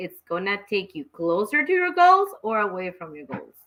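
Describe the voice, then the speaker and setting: Her pitch sits at a medium level for a woman. She speaks at a moderate pace with a Mexican accent. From Mexico, Guadalajara. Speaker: talk show host. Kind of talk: casual chat. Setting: home studio, live stream.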